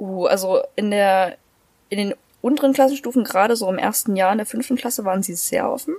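A woman with a plain, everyday voice speaks at a fairly high pitch. Her pace is fairly quick, with ordinary pitch variation. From Thuringia, Germany (Erfurt). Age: young. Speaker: former boarding school student. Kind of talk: casual chat.

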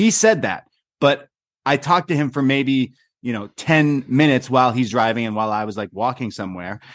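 A man talks in a normal speaking voice at a medium pitch. His pace is fairly quick and his intonation lively. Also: quiet background. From Canada. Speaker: podcast host. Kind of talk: casual chat. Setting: video call.

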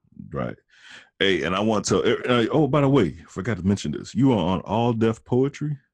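Vocal fry in an animated tone, with lively intonation and a moderate pace. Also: man, medium pitch for a man. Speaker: podcast and radio host. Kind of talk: casual chat. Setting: studio.

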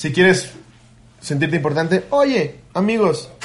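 The speaker is a man with a high-pitched voice. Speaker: comedy podcast host. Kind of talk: casual chat.

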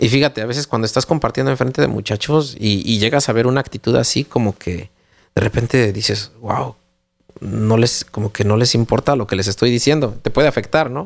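A man at a fairly quick pace, with vocal fry, ordinary pitch variation and dry, close sound with no echo. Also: medium pitch for a man. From Mexico City. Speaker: parenting podcast co-host. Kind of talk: casual chat.

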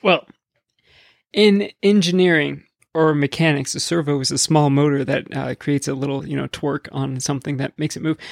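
A man speaks at a fairly quick pace in a plain, everyday voice, fairly high in pitch with ordinary pitch variation, the sound dry and close with no echo. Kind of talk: casual chat.

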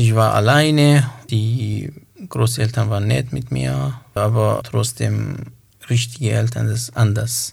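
The speaker has a Kurdish accent. The pace is very slow. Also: man. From northern Iraq. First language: Kurmanji (speaking German). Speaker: poet and author. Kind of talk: interview. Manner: halting.

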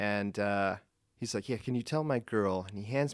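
A man's fairly low voice at a moderate pace, with ordinary pitch variation, on a very clean recording against a silent background. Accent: American. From Pennsylvania (Gettysburg). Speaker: air force technical sergeant. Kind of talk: casual interview. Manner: hesitant, many fillers.

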